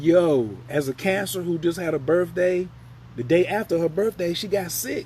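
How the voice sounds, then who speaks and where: This man speaks at a high pitch in an animated tone. His pace is fairly slow. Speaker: astrologer. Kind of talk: live stream chat. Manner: casual, animated.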